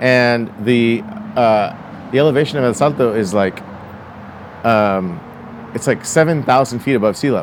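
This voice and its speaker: A man talks while noticeable background noise is audible. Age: 40s. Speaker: motorcycle rally organizer. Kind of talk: casual chat.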